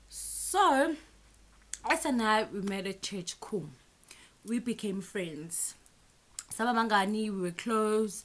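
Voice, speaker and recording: A woman's fairly high voice with a Zulu accent and lively intonation, very slow and broken by long, frequent pauses. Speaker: YouTuber. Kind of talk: storytime vlog. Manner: animated.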